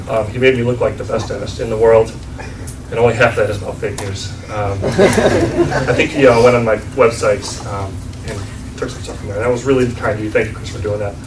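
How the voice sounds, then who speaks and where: A man with an American accent talks at a fairly quick pace in a medium pitch with fairly even intonation and big swings in loudness. The recording has audible room echo and noticeable background noise. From western New York. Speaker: dentist. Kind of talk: business networking presentation. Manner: casual, many filler ums.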